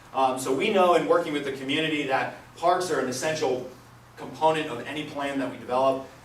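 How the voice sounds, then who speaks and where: A man with a fairly high voice talks very fast with ordinary pitch variation, over noticeable background noise and audible room echo. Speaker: developer representative. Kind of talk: community meeting presentation. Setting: community meeting room, no mic. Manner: loud; hesitant, many fillers.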